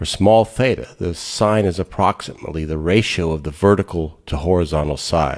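Very deep, low male speech with vocal fry and lively intonation. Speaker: physics educator. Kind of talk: educational lecture narration. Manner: slow.

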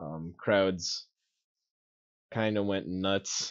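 In a quiet background, a man speaks with fairly low pitch. His intonation stays fairly even. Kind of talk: story recap narration. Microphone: video call.

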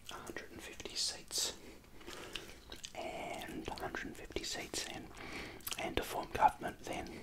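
Someone whispers quietly at a moderate pace over loud background noise. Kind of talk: tutorial. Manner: quiet ASMR whisper, chewing gum.

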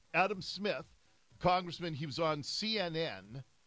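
A man in dry sound with no echo, music in the background. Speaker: radio talk show host. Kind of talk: radio talk show commentary. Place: studio. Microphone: studio mic.

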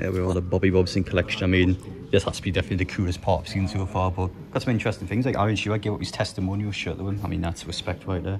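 Over noticeable background noise, a man with a very deep, low pitch talks at a very fast pace in a flat monotone. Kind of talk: casual vlog chat. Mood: amused, appreciative. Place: hall. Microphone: phone near.

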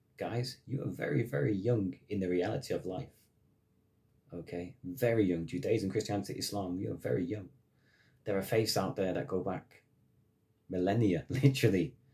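A man's angry, passionate voice, fairly low and somewhat breathy, with lively intonation, a moderate pace and long, frequent pauses. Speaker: massage therapist and spiritual vlogger. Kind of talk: monologue/rant. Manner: angry, emphatic, ranting with repeated forceful phrases; passionate, blunt. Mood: earnest, impassioned about religion. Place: home room. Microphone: phone near.

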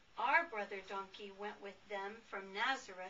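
A woman talks at a very slow pace with ordinary pitch variation. Light background noise sits behind her. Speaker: grandmother. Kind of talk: children's book read-aloud. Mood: warm, expressive, playful. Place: home room.

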